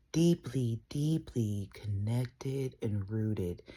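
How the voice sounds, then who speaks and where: A woman speaks at a very slow pace in a very deep, low pitch, with a dark, mellow tone and a somewhat breathy sound. Her pitch variation is ordinary, and the recording is very clean with a silent background. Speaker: tarot reader. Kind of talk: tarot reading. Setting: at home, early morning. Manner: soft-spoken.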